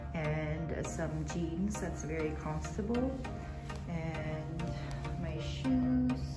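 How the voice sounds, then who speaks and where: Loud music plays in the background as a woman speaks at a very slow pace. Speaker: vlogger. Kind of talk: casual vlog chat. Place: office. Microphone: phone near.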